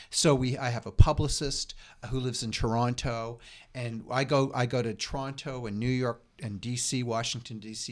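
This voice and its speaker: In a Canadian Maritime accent, a man talks at a moderate pace and a medium pitch. His intonation is fairly even, and the recording is very clean with a silent background. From Nova Scotia, Lunenburg County. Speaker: university press publisher. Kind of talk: interview. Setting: office.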